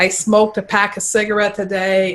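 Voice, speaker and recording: In a slight Quebec accent, a woman talks at a moderate pace and medium pitch with monotone, flat intonation. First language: French. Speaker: clinical nutritionist. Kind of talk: interview.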